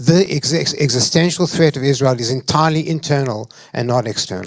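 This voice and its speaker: Speaking with a South African accent, a man talks at a fairly quick pace in a fairly high pitch with ordinary pitch variation. Noticeable background noise is present. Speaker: panelist. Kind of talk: panel discussion.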